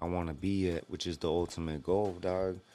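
This man has a very deep, low pitch and fairly even intonation. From Los Angeles, San Gabriel Valley. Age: 30s. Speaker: professional MMA fighter. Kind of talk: casual interview.

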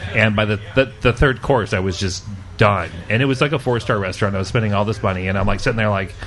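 Over noticeable background noise, a man speaks at a very fast pace with a fairly low pitch. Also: ordinary pitch variation.

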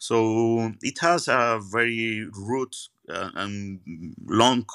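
A man with an Andalusian accent, medium pitch and ordinary pitch variation, in a dry, close sound with no echo on a very clean recording with a silent background. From Spain, Seville. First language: Spanish. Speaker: magician. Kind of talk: interview conversation. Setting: at a magic venue after a show. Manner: halting, repeats words.

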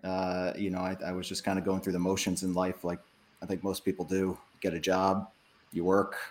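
The speech comes at a fairly quick pace in an American accent. The recording is very clean, with a silent background. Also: man. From New Hampshire, US. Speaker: real estate investor. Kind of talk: podcast interview.

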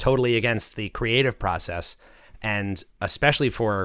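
The man's voice has a bright, sharp tone and ordinary pitch variation, captured in a very clean recording with a silent background. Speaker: podcast host. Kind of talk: casual chat about a song. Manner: friendly, conversational.

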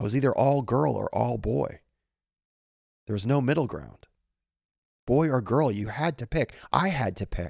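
With vocal fry and lively intonation, a man talks at a fairly slow pace in a medium pitch, leaving long, frequent pauses. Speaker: podcast host reading stories. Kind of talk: reading aloud.

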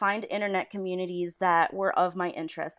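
A woman of medium pitch speaks with a Western New York accent. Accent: Western New York (Inland North) American. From western New York (Niagara Falls). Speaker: storyboard artist. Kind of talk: casual chat.

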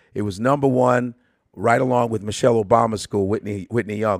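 The speaker has an American accent and fairly even intonation. The pace is fairly quick. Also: man. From Chicago, north side. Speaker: comedian. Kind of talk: casual interview chat.

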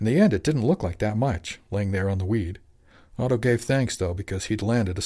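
The voice is reading aloud in a natural voice, with ordinary pitch variation.

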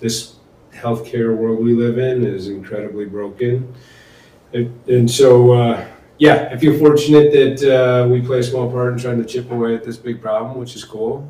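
A man speaks at a moderate pace and medium pitch, with fairly even intonation but big swings in loudness. Room echo is audible. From Michigan. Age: 50s. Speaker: corporate executive. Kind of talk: casual chat.

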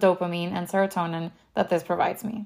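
With a Miami accent, a woman speaks at a fairly quick pace on a very clean recording with a silent background. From Venezuela and South Florida. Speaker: podcast host. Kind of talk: podcast trailer, scripted intro.

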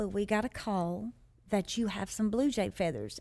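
A woman with an American accent, medium pitch and ordinary pitch variation, on a very clean recording with a silent background. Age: 40s. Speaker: mother sharing her life story. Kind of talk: interview testimony.

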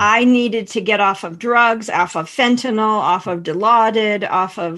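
With an American accent, a woman has an ordinary speaking voice at a medium pitch with fairly even intonation against a quiet background. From Pennsylvania. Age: 50s. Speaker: intuitive and energy healer. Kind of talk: interview conversation.

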